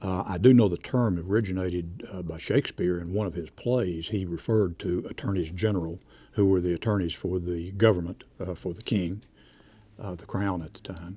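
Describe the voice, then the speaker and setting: A man with an East Tennessee accent talks at a fairly quick pace in a very deep, low pitch. His tone is dark and mellow, with big swings in loudness. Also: fairly even intonation, very clean recording, silent background. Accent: East Tennessee Southern US. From East Tennessee, Knoxville area. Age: 70s. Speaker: retired district attorney. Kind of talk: oral history interview.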